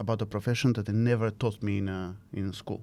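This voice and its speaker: The recording is very clean with a silent background. A man speaks in a dark, mellow tone at a fairly low pitch, with ordinary pitch variation. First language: not English (English is fifth language). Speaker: design academic and innovation leader. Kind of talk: interview. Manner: hesitant with fillers.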